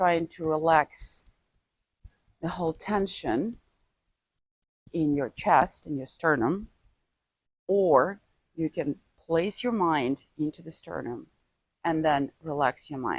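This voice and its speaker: A woman with a non-native accent speaks at a very deep, low pitch, very slowly and with long, frequent pauses, using ordinary pitch variation. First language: not English. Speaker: martial arts teacher. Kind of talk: tutorial. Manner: halting.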